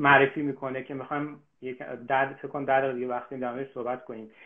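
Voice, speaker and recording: A man is speaking. The background is quiet. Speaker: artist and live-stream host. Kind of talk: casual conversation. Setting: online live stream. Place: home room. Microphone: phone near.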